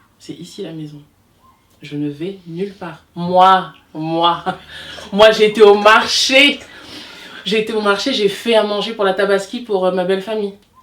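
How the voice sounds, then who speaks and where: Animated in tone, a woman speaks at a medium pitch and a fairly slow pace with ordinary pitch variation, big swings in loudness and long, frequent pauses. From DR Congo, raised in France from 18 months. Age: 30s. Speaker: hairdresser. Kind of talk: casual interview.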